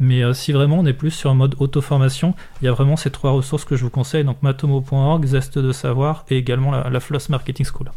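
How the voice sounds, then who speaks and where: A man with a fairly high voice talks at a fairly quick pace, his loudness very even, his tone somewhat breathy and his intonation flat and monotone. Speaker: software trainer and consultant. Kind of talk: casual interview. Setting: radio studio. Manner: halting, many repetitions.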